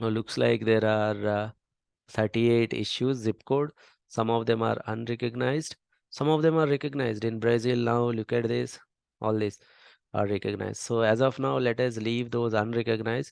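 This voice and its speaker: A man with an Indian accent and fairly even intonation. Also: medium pitch for a man, moderate pace. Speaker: data science instructor. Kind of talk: tutorial.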